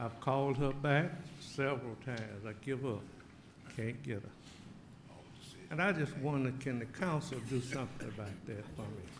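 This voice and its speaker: A man with a Southern US accent, somewhat breathy, at a moderate pace with long, frequent pauses and audible room echo. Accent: US South. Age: 80s+. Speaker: resident speaking at public comment. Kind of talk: public comment at council meeting.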